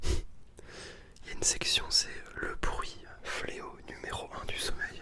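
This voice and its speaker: A man whispers over noticeable background noise. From Northern France. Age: 20s. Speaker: ASMR artist. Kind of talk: ASMR video. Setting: bedroom. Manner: whispered.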